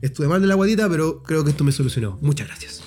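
With music playing in the background, a man with a Chilean accent talks at a very fast pace in an animated tone with lively intonation. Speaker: podcast co-host. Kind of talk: casual chat. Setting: outdoors.

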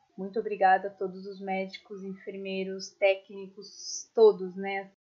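This is a woman at medium pitch. She speaks at a fairly slow pace. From São Paulo, Brazil. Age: 20s. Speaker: podcast co-host, recent graduate. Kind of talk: casual chat.

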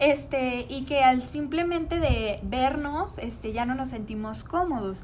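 Her voice is high in pitch, and the woman speaks fairly slowly with ordinary pitch variation and big swings in loudness, with audible echo from the room. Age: 20s. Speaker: podcast co-host, nutrition student. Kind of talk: casual chat.

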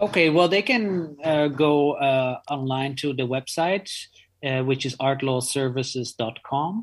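On a very clean recording with a silent background, a man with a Dutch accent talks at a fairly slow pace in a fairly high voice with ordinary pitch variation. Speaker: art lawyer. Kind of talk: interview.

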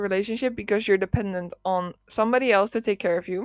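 A woman with a Dutch accent sounds animated, using ordinary pitch variation in a dry, close recording with no echo. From Netherlands, not Amsterdam. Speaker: solo podcast host. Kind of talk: casual monologue. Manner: animated, laughing often.

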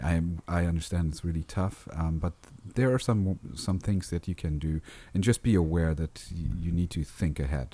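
A man with a very deep, low voice speaks at a moderate pace in a dark, mellow, somewhat breathy tone with ordinary pitch variation. The recording is very clean with a silent background. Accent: non-native. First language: not English. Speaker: podcast co-host discussing film editing. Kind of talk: casual chat; reading aloud. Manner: halting.

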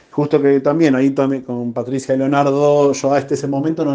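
At a moderate pace, a man speaks with a dark, mellow tone at medium pitch. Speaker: writer. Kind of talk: interview. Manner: halting.

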